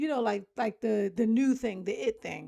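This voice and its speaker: A woman talks at a moderate pace with ordinary pitch variation. Her voice has vocal fry. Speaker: homemaker vlogger. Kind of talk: casual vlog chat.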